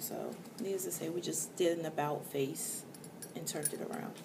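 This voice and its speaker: Quiet speech with an American accent comes at a moderate pace through noticeable background noise and audible room echo. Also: woman. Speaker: vlogger. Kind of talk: casual vlog rant. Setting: indoors at night, others asleep. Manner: quiet, hushed.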